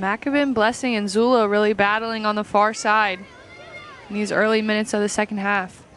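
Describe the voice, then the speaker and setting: A woman's fairly high, monotone voice with flat intonation, at a fairly quick pace. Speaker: color commentator. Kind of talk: live sports commentary with analysis. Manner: measured, explanatory, calmer than play-by-play.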